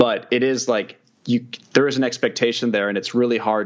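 Here is a man with an ordinary speaking voice and an American accent. He talks at a fairly quick pace with fairly even intonation. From Kansas City. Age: 20s. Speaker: video producer and journalist. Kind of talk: casual interview chat.

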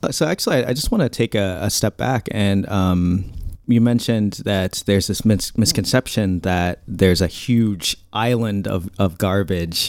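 At a moderate pace, an ordinary speaking voice with ordinary pitch variation comes through a dry, close sound with no echo. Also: man. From US Midwest, Indiana. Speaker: podcast co-host. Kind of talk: interview.

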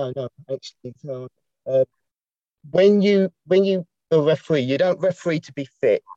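A man's dry, close voice with no echo, fairly high in pitch, dark and mellow in tone, with ordinary pitch variation at a moderate pace.

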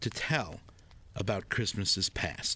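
A man is speaking. He goes at a very slow pace. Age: 40s. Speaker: podcast narrator. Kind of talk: scripted narration.

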